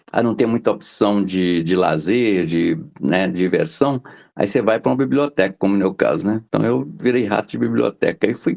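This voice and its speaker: With a plain, everyday voice, a man talks at a moderate pace with lively intonation, in a dry, close sound with no echo and a quiet background. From Minas Gerais, Brazil (interior). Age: 60s. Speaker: journalist and poet. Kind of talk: interview.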